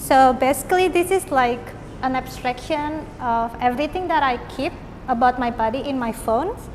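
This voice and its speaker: With an Indonesian accent, the speaker talks at a moderate pace with ordinary pitch variation, over noticeable background noise. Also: woman, high pitch for a woman. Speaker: artist and visual arts lecturer. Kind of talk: artist talk about own work.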